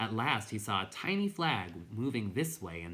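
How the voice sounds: Natural voice, reading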